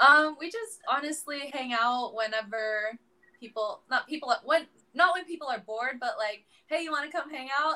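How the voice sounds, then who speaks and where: A woman with an American accent uses a raised, projected voice at a moderate pace, with a high pitch, lively intonation and a bright, sharp tone. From US, San Francisco area. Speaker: professional volleyball player. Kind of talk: casual interview.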